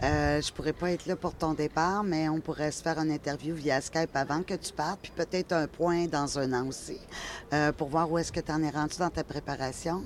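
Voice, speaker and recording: At a moderate pace, a woman with a very deep, low voice speaks with fairly even intonation. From Quebec. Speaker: interviewer. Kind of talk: interview.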